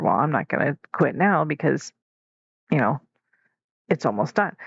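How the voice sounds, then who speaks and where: With vocal fry and a very deep, low pitch, a woman speaks at a moderate pace in a dry, close sound with no echo. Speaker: podcast host. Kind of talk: casual monologue. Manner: casual, hesitant with many fillers.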